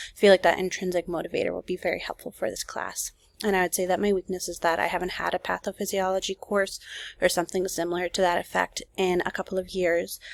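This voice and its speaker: Speaking at a very fast pace, a woman uses a medium pitch and monotone, flat intonation on a very clean recording with a silent background and a dry, close sound with no echo. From Minnesota. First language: Spanish. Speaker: nurse and graduate student. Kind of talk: self-introduction video. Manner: casual with filler words.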